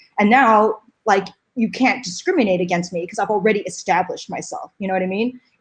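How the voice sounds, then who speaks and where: Talking at a very fast pace, a woman with an American accent uses a medium pitch and ordinary pitch variation. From United States. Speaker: paleontologist. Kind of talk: interview. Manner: loud; casual, many fillers.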